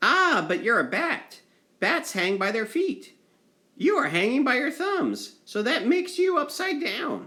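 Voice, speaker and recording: Loud and at a fairly slow pace, a man uses a put-on character voice with an extremely high pitch. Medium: read story.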